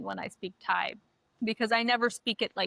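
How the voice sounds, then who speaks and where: A woman speaks with a confident tone and fairly even intonation. Her pitch is fairly high and her pace moderate. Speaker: podcast co-host. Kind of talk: casual chat. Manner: confident and loud.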